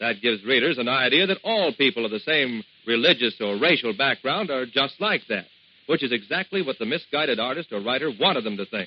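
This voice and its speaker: A man's ordinary speaking voice, medium in pitch, with lively intonation at a fairly quick pace. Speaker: radio announcer. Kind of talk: vintage radio public service announcement. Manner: upbeat, friendly.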